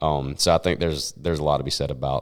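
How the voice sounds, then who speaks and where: With a Southern US accent, a man speaks at a fairly quick pace. His voice is very deep and low, with vocal fry. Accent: Southern twang. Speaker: country singer. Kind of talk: casual chat.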